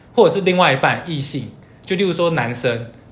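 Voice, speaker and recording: Speaking at a fairly quick pace with very wide pitch swings, a man with a high pitch is heard with audible room echo. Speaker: podcast host. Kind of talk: casual chat.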